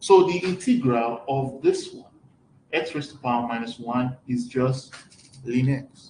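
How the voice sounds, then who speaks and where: A man's dark, mellow, somewhat breathy tone, at a fairly slow pace with big swings in loudness. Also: medium pitch for a man, ordinary pitch variation. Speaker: mathematics lecturer. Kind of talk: lecture.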